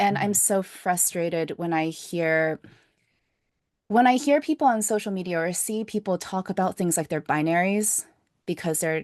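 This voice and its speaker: A woman talks in an ordinary speaking voice at a moderate pace, medium in pitch with ordinary variation, with a dry, close sound with no echo and a quiet background. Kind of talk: podcast host conversation.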